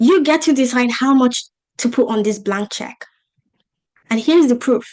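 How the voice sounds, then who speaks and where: In an animated tone, a woman speaks with a high pitch. Her pace is moderate and her pitch varies an ordinary amount. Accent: African. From Africa. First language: not English. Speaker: business coach. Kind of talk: online masterclass presentation.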